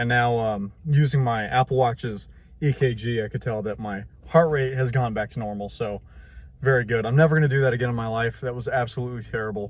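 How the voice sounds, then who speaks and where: At a moderate pace, a man talks with a medium pitch, ordinary pitch variation and a somewhat breathy sound. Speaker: tech YouTuber. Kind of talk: casual vlog. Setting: outdoors. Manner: animated.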